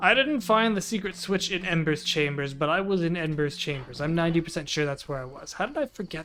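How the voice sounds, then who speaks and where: A man talks quietly at a fairly quick pace with hardly any pauses, his high-pitched voice showing ordinary pitch variation. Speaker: gameplay streamer. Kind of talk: let's play commentary. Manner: lowered voice, quieter; casual, halting.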